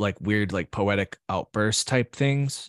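A man's unremarkable speaking voice with an American accent, fairly low in pitch and fairly slow in pace, with a dry, close sound with no echo and a quiet background. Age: 30s. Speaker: artist. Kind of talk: casual interview.

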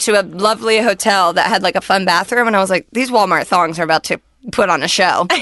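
A woman talks at a very fast pace with lively intonation and a medium pitch. Noticeable background noise runs underneath. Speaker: podcast co-host. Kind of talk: casual chat. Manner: casual and expletive-laden.

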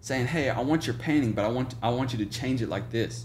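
With an American accent, a man speaks at a fairly quick pace and medium pitch. Audible room echo is present. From Oklahoma, small town near Tulsa. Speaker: photographer. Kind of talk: casual interview chat.

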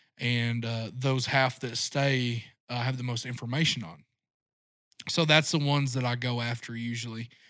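In a very clean recording with a silent background, a man with an American accent talks at a moderate pace and medium pitch, using fairly even intonation and an ordinary speaking voice. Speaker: deer hunting guide and outdoor media creator. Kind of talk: casual interview.

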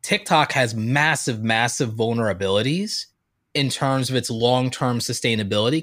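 A man with an ordinary speaking voice talks at a moderate pace in a medium pitch. The recording is very clean, with a silent background. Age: 30s. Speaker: YouTuber and creator coach. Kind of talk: casual chat.

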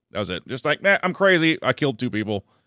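An ordinary speaking voice moves at a fairly quick pace with lively intonation. The sound is dry and close with no echo, a very clean recording with a silent background. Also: man. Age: 30s. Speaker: comedian. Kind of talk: casual chat. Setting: studio.

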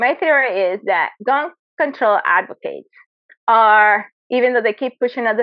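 A woman with a Spanish accent and an animated tone, at a moderate pace with ordinary pitch variation. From Venezuela. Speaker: Olympic competitive shooter. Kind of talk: interview.

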